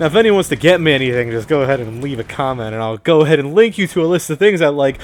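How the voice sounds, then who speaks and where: Very wide pitch swings come at a very fast pace over noticeable background noise. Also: man. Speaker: gaming commentator. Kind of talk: solo video game commentary. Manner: casual, rambling with self-corrections.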